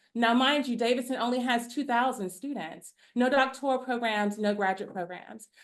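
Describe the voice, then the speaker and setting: The speech moves at a fairly quick pace with fairly even intonation against a quiet background. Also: woman. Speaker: artist. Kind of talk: panel discussion. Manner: loud.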